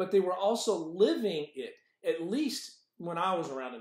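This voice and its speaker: A man speaks at a fairly slow pace in a passionate tone, his pitch swinging very widely. There is audible room echo, but the background is quiet. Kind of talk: devotional teaching. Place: office. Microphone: webcam.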